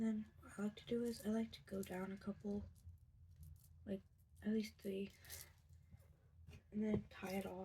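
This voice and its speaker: A quiet woman's medium-pitched, dark, mellow and somewhat breathy voice, monotone and flat, at a moderate pace, with long, frequent pauses and big swings in loudness. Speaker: craft tutorial video maker. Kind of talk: tutorial.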